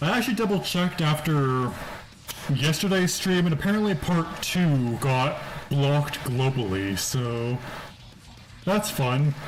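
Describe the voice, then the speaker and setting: A man's relaxed tone at a fairly slow pace, with noticeable background noise. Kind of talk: casual gaming livestream commentary. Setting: laptop built-in mic with loud fans, muffled. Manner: relaxed, casual.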